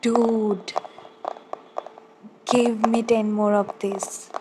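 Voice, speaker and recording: Over noticeable background noise, a woman speaks very slowly in a medium pitch with monotone, flat intonation. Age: young. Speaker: ASMR creator and college student. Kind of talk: casual ASMR talk with tapping.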